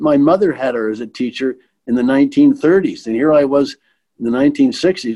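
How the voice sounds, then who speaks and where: With a Manitoban accent, a man talks at a moderate pace. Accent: Canadian (Manitoba). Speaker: retired bank executive. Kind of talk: interview reminiscence. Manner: halting with repetitions.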